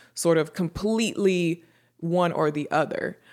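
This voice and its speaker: In a very clean recording with a silent background, a woman speaks at a fairly slow pace in an unremarkable speaking voice, fairly low in pitch with fairly even intonation. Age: 20s. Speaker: YouTuber giving advice. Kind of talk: casual advice monologue.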